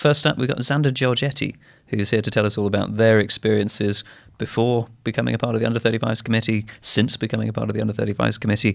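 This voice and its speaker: On a very clean recording with a silent background, a man with a medium-pitched voice and vocal fry talks at a very fast pace with fairly even intonation. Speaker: podcast host. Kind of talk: podcast interview.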